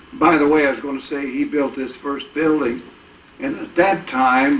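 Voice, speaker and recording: Noticeable background noise sits behind a man with an American accent whose pitch varies in an ordinary way. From Indiana. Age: 80s+. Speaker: war veteran and car dealer. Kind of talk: oral history interview. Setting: at his home, filmed. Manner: halting, many filler words.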